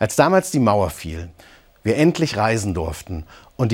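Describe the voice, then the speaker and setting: This man talks at a moderate pace with very wide pitch swings and vocal fry. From East Germany, Eisenach (Thuringia). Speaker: pastor. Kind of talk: scripted broadcast reflection. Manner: calm, measured.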